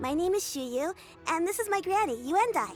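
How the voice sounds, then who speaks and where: In a put-on character voice, a woman squeaks at an extremely high pitch with very wide pitch swings, keeping a moderate pace over clear music in the background. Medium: video game. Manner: warm, patient.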